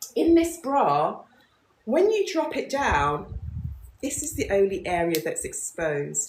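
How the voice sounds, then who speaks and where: This woman speaks with a British accent. Her pace is fairly slow. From London, England. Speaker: business founder. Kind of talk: live stream chat. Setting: livestream.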